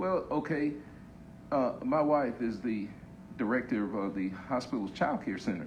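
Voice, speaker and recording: In a room with audible echo, a man at medium pitch speaks at a moderate pace with lively intonation and long, frequent pauses. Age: 60s. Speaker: COVID survivor giving testimony. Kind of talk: panel discussion. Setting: Facebook live panel on stage. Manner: halting.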